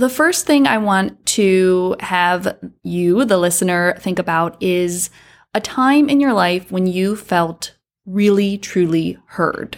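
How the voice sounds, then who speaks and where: A woman talks at a very slow pace. Her recording is very clean, with a silent background. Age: 30s. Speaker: podcast host, anesthesiologist assistant and adjunct professor. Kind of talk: solo podcast talk. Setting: on vacation overlooking the Gulf of Mexico.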